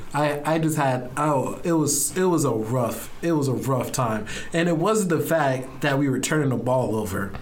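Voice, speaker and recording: A man with a fairly high voice talks at a moderate pace with very even loudness, ordinary pitch variation and hardly any pauses over noticeable background noise. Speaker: college sports podcast co-host. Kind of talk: casual chat. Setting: studio.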